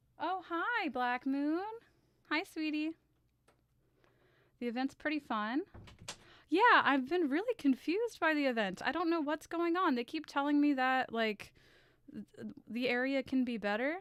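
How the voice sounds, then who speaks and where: A nervous, shaky woman's high voice with lively intonation, at a fairly slow pace with long, frequent pauses. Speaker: streamer and artist. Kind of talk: casual live stream chat. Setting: live stream with camera. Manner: shaky, nervous; halting.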